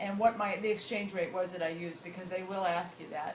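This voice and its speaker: Noticeable background noise and audible room echo fill the recording. A woman speaks in an American accent. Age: 60s. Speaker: travel show host. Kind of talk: interview answer, casual advice.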